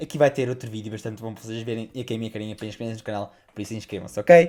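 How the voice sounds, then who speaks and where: A man speaks in a dark, mellow tone. His pace is very fast. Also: medium pitch for a man, ordinary pitch variation, big swings in loudness. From Portugal. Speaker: YouTuber reacting to videos. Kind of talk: reaction video commentary.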